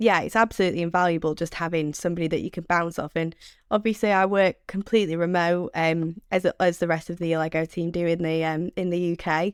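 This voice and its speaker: A woman with a Mancunian accent talks very fast, barely pausing, in a fairly low voice with fairly even intonation, recorded very cleanly against a silent background with a dry, close sound and no echo. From Manchester, northern England. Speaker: sales development rep. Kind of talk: podcast interview.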